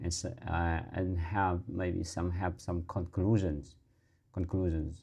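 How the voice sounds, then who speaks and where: A man with a Vietnamese accent, very deep and low-pitched, dark and mellow in tone, at a very slow pace against a quiet background. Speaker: English learner vlogger. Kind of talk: casual monologue. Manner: halting. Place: home room. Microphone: lapel.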